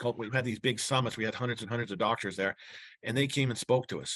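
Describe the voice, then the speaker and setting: A man talks against a quiet background. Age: 60s. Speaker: chiropractor sharing practice marketing tips. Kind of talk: casual interview talk. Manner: halting, many fillers and restarts.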